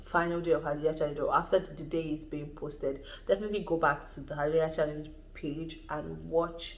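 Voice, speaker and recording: With audible room echo, a woman talks at a fairly quick pace in a very deep, low voice and fairly even intonation. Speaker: YouTuber. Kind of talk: vlog advice talk. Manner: fast.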